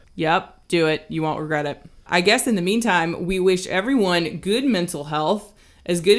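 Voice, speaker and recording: A woman with an American accent speaks at a moderate pace in an unremarkable speaking voice, her fairly low pitch moving with ordinary variation. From US South. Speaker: podcast co-host. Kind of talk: casual chat. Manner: conversational, relaxed, laughs often.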